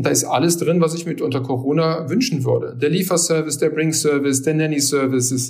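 A man talks at a very fast pace with a fairly high pitch. Room echo is audible. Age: 50s. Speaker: technology consultant, company partner. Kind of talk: interview. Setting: remote recording.

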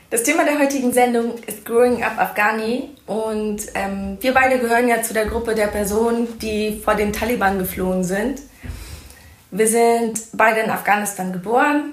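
Against noticeable background noise and audible room echo, a woman with a fairly high pitch talks at a moderate pace with fairly even intonation. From Germany, rural. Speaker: podcast host, social worker. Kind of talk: casual conversation.

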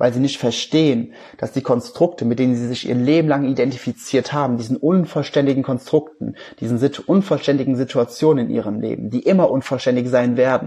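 A man's dark, mellow tone sits at a medium pitch, delivered at a moderate pace. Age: 20s. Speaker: life coach and podcast host. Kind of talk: recorded livestream talk.

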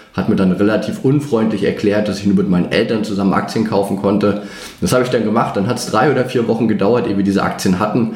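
Amid noticeable background noise and audible room echo, a man speaks at a very fast pace in a fairly low pitch with fairly even intonation. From northeastern Germany (Greifswald, former GDR). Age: 30s. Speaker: finance trainer and former portfolio manager. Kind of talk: interview.

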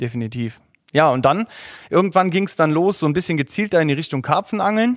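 In a very clean recording with a silent background, a man speaks very fast. His pitch is fairly high and his intonation lively. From Saarland, Germany. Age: 30s. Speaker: angler. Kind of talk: casual chat.

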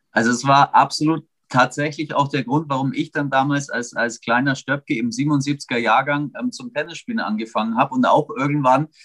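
A man in a plain, everyday voice, fairly high with ordinary pitch variation, speaks at a moderate pace with hardly any pauses in a dry, close sound with no echo. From Augsburg, Bavaria, Germany. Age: 40s. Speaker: sports commentator. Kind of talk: casual chat.

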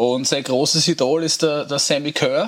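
Very clean recording with a silent background, a man with a fairly high pitch and a bright, sharp tone, fairly slow pace and ordinary pitch variation. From Austria, Lower Austria. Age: 40s. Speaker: rock band singer. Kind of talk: casual chat.

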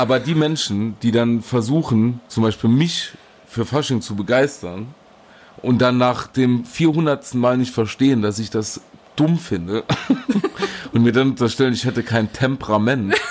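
The delivery is fairly slow, with ordinary pitch variation and long, frequent pauses. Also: man, medium pitch for a man. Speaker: podcast co-host. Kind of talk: casual chat. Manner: loud; animated.

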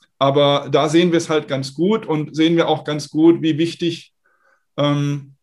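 With an ordinary speaking voice, this man talks at a fairly slow pace, his pitch fairly high and his intonation fairly even. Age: 40s. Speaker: startup founder and investor. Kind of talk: interview. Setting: video call.

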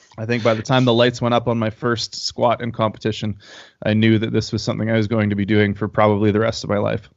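Speaking very fast in a Canadian accent, a man keeps his intonation monotone and flat. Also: medium pitch for a man. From Canada. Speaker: powerlifter and powerlifting coach. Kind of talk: casual interview.

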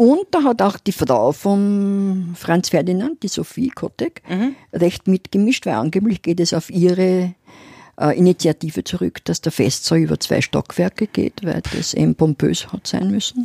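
In a dry, close sound with no echo, a woman speaks fairly slowly at medium pitch, her tone dark and mellow and her intonation lively. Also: very clean recording, silent background. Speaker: podcast co-host, city history storyteller. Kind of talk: casual chat.

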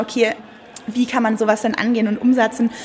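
Noticeable background noise sits behind a woman speaking at a fairly quick pace in a fairly high voice. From Munich, Germany. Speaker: school director. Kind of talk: interview. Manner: hesitant, many fillers.

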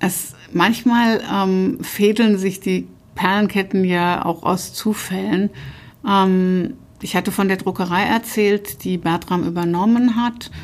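Speaking very slowly, a woman keeps her intonation fairly even and her loudness very even, on a very clean recording with a silent background. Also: medium pitch for a woman. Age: 50s. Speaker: publisher. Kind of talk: interview. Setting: publisher's office.

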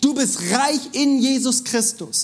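Animated male voice with an extremely high pitch. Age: 30s. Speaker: preacher. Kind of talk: sermon.

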